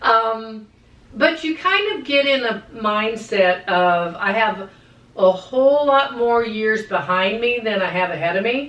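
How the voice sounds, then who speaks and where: A woman talks at a fairly slow pace with a fairly high pitch and lively intonation. There is audible room echo. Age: 60s. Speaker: podcast co-host. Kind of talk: casual chat.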